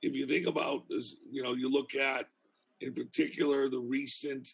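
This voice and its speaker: A man with a Boston accent at a fairly slow pace. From Boston, US. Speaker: criminal justice professor. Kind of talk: casual interview chat.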